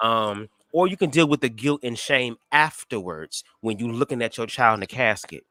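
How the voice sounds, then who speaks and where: A man with a bright, sharp tone and lively intonation, in a very clean recording with a silent background and a dry, close sound with no echo. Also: medium pitch for a man. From Detroit, US Midwest. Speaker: YouTube live streamer. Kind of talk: casual chat. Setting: livestream. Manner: stutters, fast.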